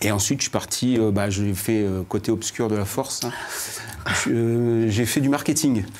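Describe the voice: A man speaks at a moderate pace with a fairly low pitch. His tone is slightly mellow and his intonation fairly even.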